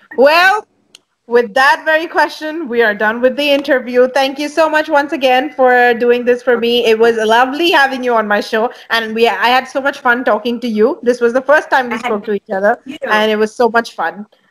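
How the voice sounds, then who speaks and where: This woman has a high voice and talks at a fairly quick pace with ordinary pitch variation. The background is quiet. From India. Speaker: bass player and talk show host; talk show host. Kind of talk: interview. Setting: video call. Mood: friendly, cheerful. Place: home room. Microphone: earbuds.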